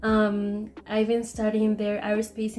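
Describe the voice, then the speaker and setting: A woman with a Spanish accent speaks in a fairly high pitch. Her delivery is flat and monotone at a moderate pace. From Mexico, Chihuahua. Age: 20s. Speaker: engineering student. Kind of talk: class presentation video. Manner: hesitant, filler-heavy.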